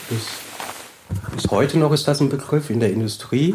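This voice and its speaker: Noticeable background noise sits behind the speaker, a man. His pitch varies in an ordinary way. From German village near French border. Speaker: street worker. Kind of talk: casual interview. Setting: old factory hall.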